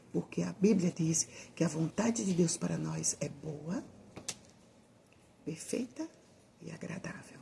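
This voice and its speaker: This voice is soft-spoken, with big swings in loudness. It moves at a fairly slow pace, broken by long, frequent pauses. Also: woman. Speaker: evangelical Bible teacher. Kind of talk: informal sermon. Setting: at home at night.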